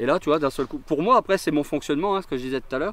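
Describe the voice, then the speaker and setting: A man's voice with ordinary pitch variation. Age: 40s. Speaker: fireworks technician. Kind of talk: interview explaining his work on site. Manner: hesitant, many fillers.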